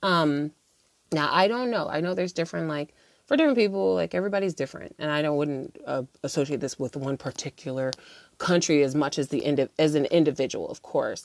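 A woman's very deep, low voice with an American accent, lively intonation and a very fast pace, dry and close with no echo. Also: very clean recording, silent background. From United States. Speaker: podcast host. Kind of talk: solo podcast monologue, casual reflections. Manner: casual, conversational, many filler words.

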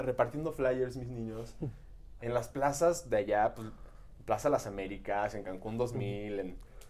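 A man's plain, everyday voice at medium pitch, fairly slow, with big swings in loudness. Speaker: podcast co-host. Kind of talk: casual chat.

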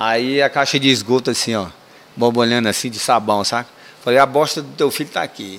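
A man's medium-pitched voice moves at a fairly quick pace, its pitch varying in an ordinary way. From Brazil, Ceará; raised in Ceilândia, Brasília. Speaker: retired military police sergeant. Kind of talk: casual storytelling interview. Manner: animated.

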